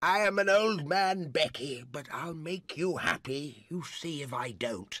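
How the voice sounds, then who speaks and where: Using a put-on character voice, a man speaks high-pitched and fairly slowly in a very clean recording with a silent background. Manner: pleading.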